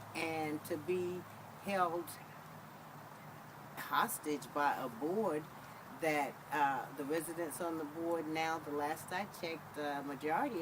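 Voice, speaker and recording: A woman's fairly low voice at a fairly slow pace, with long, frequent pauses, audible room echo and noticeable background noise. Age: 60s. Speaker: resident interviewee. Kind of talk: interview testimony.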